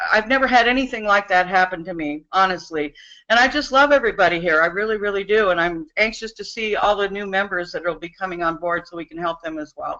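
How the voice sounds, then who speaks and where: A woman talks at a very fast pace with hardly any pauses and big swings in loudness. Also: medium pitch for a woman, ordinary pitch variation. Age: 60s. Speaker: business opportunity member giving testimonial. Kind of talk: testimony. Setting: webinar. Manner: animated.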